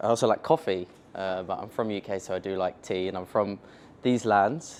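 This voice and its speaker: A man talks at a fairly quick pace with a London accent and fairly low pitch, over light background noise. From England, London. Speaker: software company founder, tech speaker; speaker. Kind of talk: conference tech talk. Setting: stage with audience at meetup. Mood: casual, joking. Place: meeting room.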